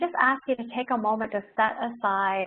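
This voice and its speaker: A woman with a Canadian accent speaks in a plain, everyday voice at a moderate pace, her fairly high pitch held to fairly even intonation. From Ontario, Canada. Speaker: doctor and wellness speaker. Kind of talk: webinar talk. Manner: informal, frequent fillers.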